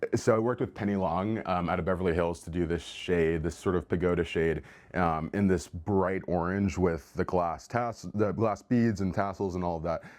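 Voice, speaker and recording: A man's very deep, low voice with fairly even intonation over a quiet background. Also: moderate pace, hardly any pauses. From Texas, Houston. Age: 20s. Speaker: interior designer. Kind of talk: home tour. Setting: at home. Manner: casual, many fillers.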